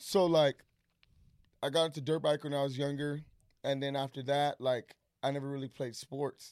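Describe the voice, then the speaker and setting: A man speaks at a moderate pace in a monotone, flat intonation. He leaves long, frequent pauses, and the sound is dry and close with no echo. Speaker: podcast guest, friend of host. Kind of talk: casual chat. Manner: loud.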